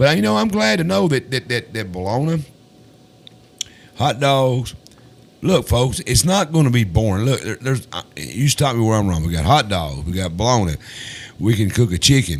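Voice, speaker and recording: With a Tennessee accent, a man speaks with very wide pitch swings and long, frequent pauses over noticeable background noise. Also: medium pitch for a man, moderate pace. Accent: Southern US (Tennessee). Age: 60s. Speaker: talk show host. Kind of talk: casual interview chat. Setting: studio. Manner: halting, repetitive.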